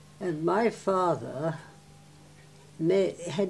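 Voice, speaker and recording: Music plays in the background behind a woman. Her fairly low voice carries fairly even intonation. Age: 80s+. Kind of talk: oral history interview answer.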